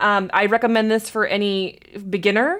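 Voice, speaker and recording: Her intonation stays fairly even at a medium pitch for a woman. The background is silent and the recording very clean. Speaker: gaming streamer and YouTuber. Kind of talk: game walkthrough narration. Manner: loud; halting, many fillers.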